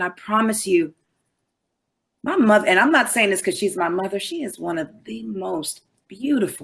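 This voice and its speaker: A somewhat breathy woman's voice at medium pitch, moderate in pace, with very wide pitch swings. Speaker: daughter of a record-label singer. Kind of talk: casual chat.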